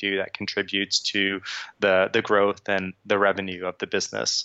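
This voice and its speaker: In a New York accent, a man speaks at a fairly quick pace. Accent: New York American. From New York, Long Island. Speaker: tech company sales engineer. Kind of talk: interview. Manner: halting, many fillers.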